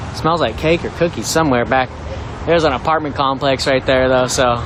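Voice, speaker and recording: With an American accent, a man talks at a fairly quick pace in a medium pitch, with fairly even intonation and very even loudness over noticeable background noise. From US Pacific Northwest, Seattle. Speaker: live protest streamer. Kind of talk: live street commentary. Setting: outdoors at a street protest. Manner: casual, conversational.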